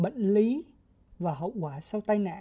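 A woman talks at a very slow pace with lively intonation and a dark, mellow tone that is somewhat breathy. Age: 20s. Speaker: podcast co-host, NGO communications officer. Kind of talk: scripted educational podcast.

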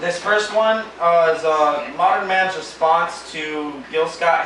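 A man with a fairly high pitch talks amid noticeable background noise. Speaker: spoken word poet. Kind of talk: spoken word poem performed live to an audience. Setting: live poetry event on stage with audience. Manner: wry, playful, with laughs at his own jokes.

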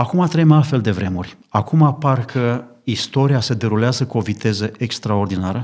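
Ordinary pitch variation and a medium male pitch from a man speaking at a moderate tempo. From Romania, Bucharest. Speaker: lay preacher, church member. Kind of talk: religious discussion on radio. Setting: studio.

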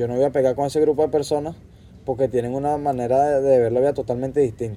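A man's dark, mellow voice at a medium pitch, very fast in pace, with fairly even intonation. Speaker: podcast guest. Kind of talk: casual chat. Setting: outdoors on a patio.

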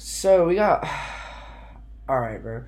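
A man at a moderate pace, with audible room echo. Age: young adult, around 20. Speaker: podcast host. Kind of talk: casual chat.

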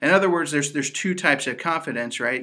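In a very clean recording with a silent background, a man speaks with an American accent in a bright, sharp tone. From Indiana. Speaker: associate pastor and podcast co-host. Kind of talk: casual faith podcast teaching.

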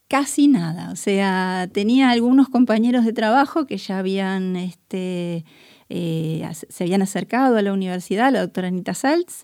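Talking at a fairly slow pace, a woman keeps a medium pitch. Her pitch variation is ordinary. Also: very clean recording, silent background. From Buenos Aires, Argentina. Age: 50s. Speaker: chemist and researcher. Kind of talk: interview. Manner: hesitant, many fillers.

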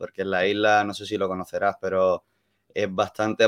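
A man's fairly low voice against a quiet background, dry and close with no echo. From Andalusia, Málaga. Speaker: hospitality worker. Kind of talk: casual chat.

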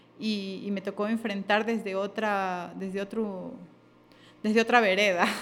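Speaking at a fairly slow pace with monotone, flat intonation, a woman is heard on a very clean recording with a silent background. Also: medium pitch for a woman. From Ecuador, Sierra and coast. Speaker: radio host and voiceover artist. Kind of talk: casual interview conversation. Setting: studio.

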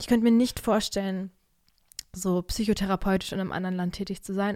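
A woman speaks at a fairly quick pace. Her voice has a dark, mellow tone. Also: very clean recording, silent background. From Germany. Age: 20s. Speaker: podcaster and student. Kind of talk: casual solo chat. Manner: animated. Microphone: new podcast microphone.

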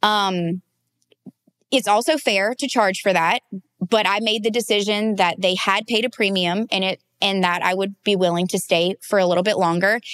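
A woman with an American accent speaks at a moderate pace in a medium pitch, her intonation fairly even and her loudness very even, in a plain, everyday voice with a dry, close sound and no echo. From US South, Louisiana. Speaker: wedding photographer. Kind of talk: casual interview.

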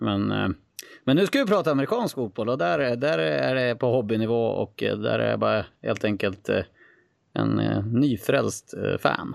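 The man talks at a fairly slow pace against a quiet background. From northern Sweden, Skellefteå. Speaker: guest, sports enthusiast. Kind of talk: casual interview.

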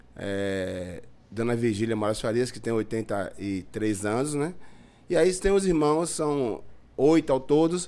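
Speaking at a very slow pace, a man of medium pitch makes very wide pitch swings. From Bahia, Brazil (Lauro de Freitas). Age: 50s. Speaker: community leader. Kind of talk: casual chat.

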